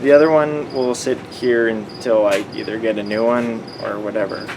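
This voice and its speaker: A quiet voice with a Canadian accent rises and falls sharply in loudness. Room echo is audible, along with noticeable background noise. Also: man. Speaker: vlogger and automotive student. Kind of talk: casual vlog tutorial. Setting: basement at night.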